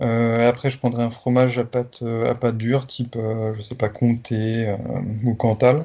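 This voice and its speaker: The speaker's pace is fairly slow. The intonation is monotone and flat. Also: man, medium pitch for a man. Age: 30s. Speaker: sports journalist and pastry influencer. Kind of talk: interview. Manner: halting, many hesitations.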